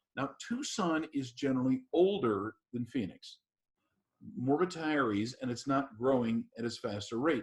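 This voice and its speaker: This man has an ordinary speaking voice at a medium pitch, with ordinary pitch variation. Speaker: practice consultant and webinar host. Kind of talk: webinar presentation. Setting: online webinar.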